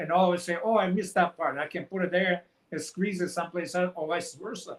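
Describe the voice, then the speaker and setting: Fairly even intonation marks a man's high-pitched voice with a Montenegrin accent. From Montenegro. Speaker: author. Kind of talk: interview. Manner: halting.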